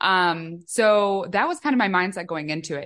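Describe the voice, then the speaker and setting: Over a quiet background, a woman with a Midwestern accent speaks at a medium pitch with ordinary pitch variation. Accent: American Midwest. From US Midwest, Chicago. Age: 20s. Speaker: author and donor-conception advocate. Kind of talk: podcast interview.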